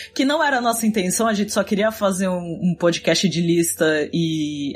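At a moderate pace, a woman speaks in a fairly low, somewhat breathy voice with ordinary pitch variation. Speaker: podcast co-host. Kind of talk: casual chat.

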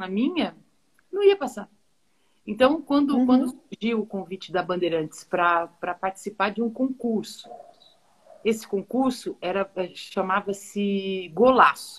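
A woman's somewhat breathy voice carries lively intonation, broken by long, frequent pauses. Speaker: football play-by-play commentator. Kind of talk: interview on a live stream. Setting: live video stream.

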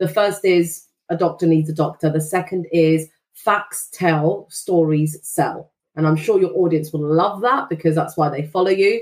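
A woman with a normal speaking voice and fairly low pitch talks at a moderate pace with ordinary pitch variation. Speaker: financial services content specialist. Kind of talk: casual interview chat.

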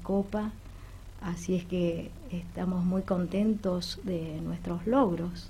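A woman's somewhat breathy, dark, mellow voice at medium pitch with fairly even intonation. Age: 60s. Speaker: amateur newcom player. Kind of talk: radio interview.

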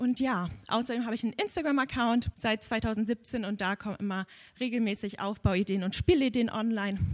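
On a very clean recording with a silent background and a dry, close sound with no echo, a plain, everyday voice moves at a moderate pace with ordinary pitch variation. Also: woman. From Hamburg. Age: 20s. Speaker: podcast host and children's gym instructor. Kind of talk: live podcast at a congress. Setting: stage with audience.

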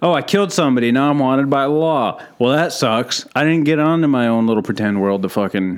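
A man's medium-pitched, fairly quick delivery in an unremarkable speaking voice, with lively intonation and hardly any pauses. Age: 30s. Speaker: stand-up comedian. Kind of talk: casual chat.

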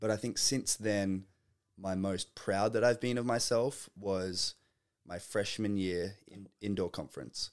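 Speaking with an Australian accent, a man keeps a fairly low pitch, a fairly slow pace and fairly even intonation on a very clean recording with a silent background. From Australia, Melbourne. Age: 20s. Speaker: college athlete and musician. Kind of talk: casual chat.

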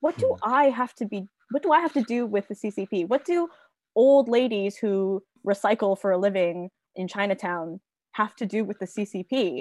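A woman with a plain, everyday voice, medium pitch, lively intonation, and a moderate pace, in a very clean recording with a silent background and a dry, close sound with no echo. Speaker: contributor and co-host. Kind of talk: casual discussion podcast.

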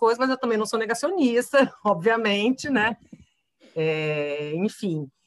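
A woman in an ordinary speaking voice, lively intonation at a moderate pace. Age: 40s. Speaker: journalist. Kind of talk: casual chat.

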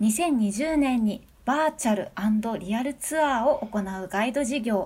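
At a fairly slow pace, a woman speaks in a high pitch with ordinary pitch variation and a dark, mellow tone. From Nagano, Japan. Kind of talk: casual interview chat. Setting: video call.

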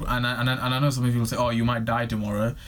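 A man talks at a medium pitch. Audible room echo and noticeable background noise surround him. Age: 20s. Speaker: podcast host. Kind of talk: solo monologue. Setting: recording on camera. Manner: halting, many repetitions.

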